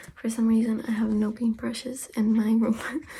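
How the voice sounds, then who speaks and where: Soft-spoken and fairly slow, a woman talks in a fairly high pitch with a dark, mellow tone. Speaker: ASMR creator. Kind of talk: ASMR personal attention role play.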